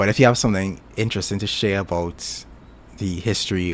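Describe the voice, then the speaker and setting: In a Caribbean accent, a man with a very deep, low pitch speaks at a fairly quick pace in a relaxed tone with ordinary pitch variation. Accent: Caribbean, often mistaken for Jamaican. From Trinidad. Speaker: YouTuber. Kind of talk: casual chat. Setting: live stream. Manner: relaxed, halting with fillers.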